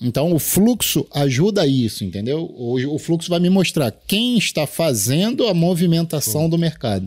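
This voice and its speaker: In a very clean recording with a silent background, a man speaks at a fairly high pitch. His loudness stays very even while his pitch swings very widely. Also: moderate pace, hardly any pauses. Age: 40s. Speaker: day trader and trading mentor. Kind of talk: casual chat.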